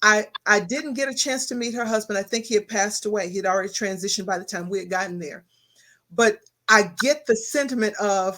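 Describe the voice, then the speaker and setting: A woman talks with a Texas accent. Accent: Texas Southern drawl. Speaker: talk show host. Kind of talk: interview. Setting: studio.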